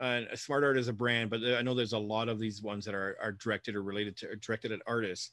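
This man talks at a very fast pace with a medium pitch. The recording is very clean, with a silent background. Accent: Canadian. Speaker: podcast co-host. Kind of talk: casual chat.

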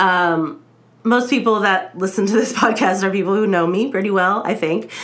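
Ordinary pitch variation from a woman, with audible room echo around her. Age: 30s. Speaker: podcast host. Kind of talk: casual chat. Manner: halting.

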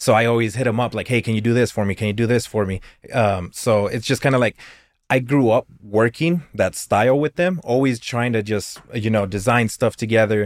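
A man's unremarkable speaking voice with an American accent, medium in pitch, fairly quick, with ordinary pitch variation, on a very clean recording with a silent background. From New Mexico, US. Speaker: cannabis content creator and critic. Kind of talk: casual chat.

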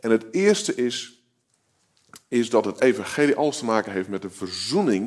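A man speaks in an ordinary speaking voice. He goes at a fairly slow pace with lively intonation. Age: 30s. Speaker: guest preacher. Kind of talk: sermon. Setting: video recording shown in church.

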